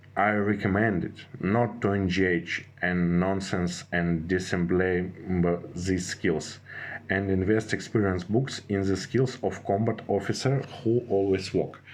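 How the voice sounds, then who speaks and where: Very deep and low, a man's voice with a non-native accent moves at a very slow pace with very even loudness. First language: not English. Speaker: gaming strategy youtuber. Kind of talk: tutorial. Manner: halting, many fillers and restarts.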